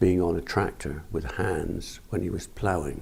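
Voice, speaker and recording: A man's very deep, low voice in a West Country accent, dark and mellow in tone, somewhat breathy, at a fairly slow pace, with audible room echo. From Somerset, England. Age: 60s. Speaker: farmer. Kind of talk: oral history interview.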